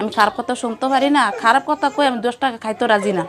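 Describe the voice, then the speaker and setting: Music plays behind a woman as she talks. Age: middle-aged. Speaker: widow in poverty telling her story. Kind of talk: interview testimony.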